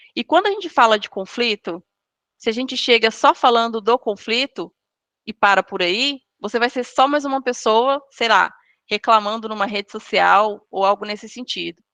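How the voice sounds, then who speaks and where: In a dry, close sound with no echo, a woman with a plain, everyday voice speaks at a moderate pace with ordinary pitch variation. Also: fairly high pitch for a woman. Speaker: guest speaker on storytelling. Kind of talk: online lecture.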